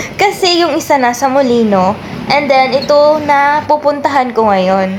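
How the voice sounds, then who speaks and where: Pitch swings very widely over noticeable background noise. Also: woman. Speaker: vlogger. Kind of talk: travel vlog narration. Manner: casual, chatty.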